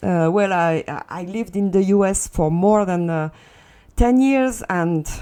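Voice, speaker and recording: Speaking at a fairly slow pace, a woman with a strong French accent has a dark, mellow tone. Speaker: Second Life content tutorial creator. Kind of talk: tutorial. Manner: hesitant, many fillers.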